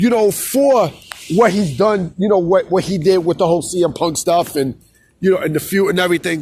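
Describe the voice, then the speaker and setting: A man with a New York accent talks at a fairly quick pace at a high pitch. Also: ordinary pitch variation. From New York City. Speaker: wrestling commentary YouTuber. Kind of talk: casual vlog commentary. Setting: outdoors in a city plaza. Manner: casual, repetitive with filler phrases.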